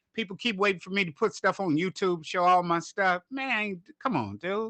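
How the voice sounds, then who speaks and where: A man speaks fairly quickly in a high, raised, projected voice with ordinary pitch variation. His tone is bright and sharp, and the sound is dry and close with no echo. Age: 60s. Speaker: bass player. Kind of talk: casual chat.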